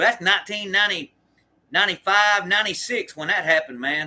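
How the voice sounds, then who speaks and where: A man talks at a fairly quick pace in a high, bright and sharp voice, raised and projected, with lively intonation. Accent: American. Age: 40s. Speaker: former prisoner and livestreamer. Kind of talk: casual livestream chat answering viewer comments. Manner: halting, many fillers and restarts.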